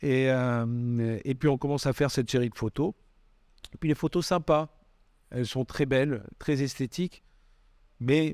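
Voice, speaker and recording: Long, frequent pauses and ordinary pitch variation, with a dry, close sound with no echo and a very clean recording with a silent background. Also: man, medium pitch for a man. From Bordeaux, southwest France. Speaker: photographer. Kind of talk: casual interview. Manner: hesitant, many fillers.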